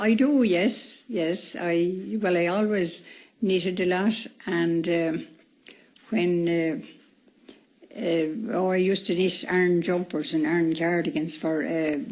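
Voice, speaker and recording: A woman with a Wexford accent at a fairly low pitch and fairly slow pace, ordinary pitch variation, very even loudness and long, frequent pauses. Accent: rural Irish (Wexford). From Ireland, County Wexford. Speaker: retired woman interviewed about her life. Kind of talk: radio interview.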